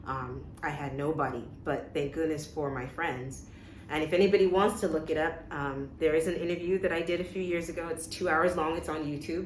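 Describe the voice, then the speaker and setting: Very deep, low pitch from a woman at a fairly quick pace, fairly even intonation, audible room echo, and noticeable background noise. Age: 40s. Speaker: interview guest sharing her life story. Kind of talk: personal testimony in a casual interview. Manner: frequent hesitations and repeated words.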